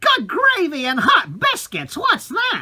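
A woman talks in an extremely high pitch. Her pitch swings very widely. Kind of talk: comic overacting, old-timey. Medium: comedy sketch. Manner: brassy, swearing, mock-flirty.

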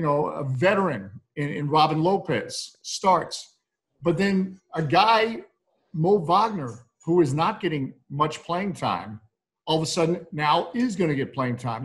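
A man with an American accent and a high voice, fairly slow in pace, with lively intonation. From United States. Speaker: basketball play-by-play announcer. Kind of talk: interview answer. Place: home room. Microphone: video call.

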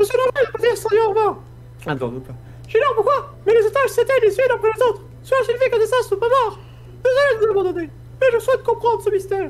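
A put-on character voice at an extremely high pitch races along at a very fast pace, broken by long, frequent pauses. Clear background noise sits behind it.

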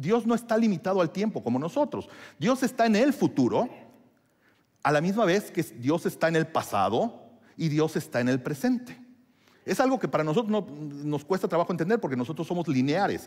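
Here a man talks at a fairly quick pace with a high pitch. His pitch swings very widely against a quiet background. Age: 50s. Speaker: pastor; preacher. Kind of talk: sermon. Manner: halting. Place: church.

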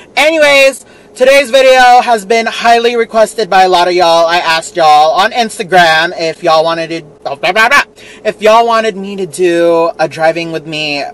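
The intonation is lively. The sound is dry with no echo. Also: man. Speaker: vlogger. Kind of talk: casual vlog chat. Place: car.

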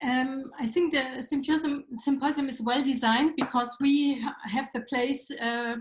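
A woman with a German accent, at a moderate pace with fairly even intonation, audible room echo, and a quiet background. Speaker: panel moderator. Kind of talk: panel discussion. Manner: halting, many fillers. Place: office. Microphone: video call.

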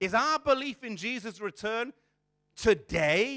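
Over a quiet background, a man speaks very slowly in a raised, projected voice with an extremely high pitch and a bright, sharp tone. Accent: British. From England, child of immigrant parents. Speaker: preacher. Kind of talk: sermon. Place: church. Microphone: lapel.

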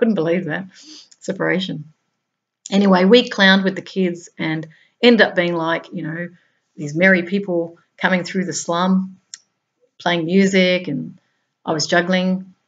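A woman with an Australian accent at a fairly slow pace, long, frequent pauses, big swings in loudness and fairly even intonation. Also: medium pitch for a woman. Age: 50s. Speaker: spiritual blogger. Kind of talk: reading aloud; monologue. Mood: calm, gentle. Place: home room. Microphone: webcam.

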